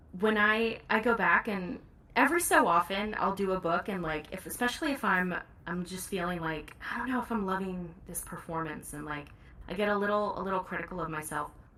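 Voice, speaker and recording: Noticeable background noise sits behind this recording. A woman talks at a medium pitch with ordinary pitch variation. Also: fairly quick pace. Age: 30s. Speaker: audiobook narrator. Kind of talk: casual chat. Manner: fast; loud.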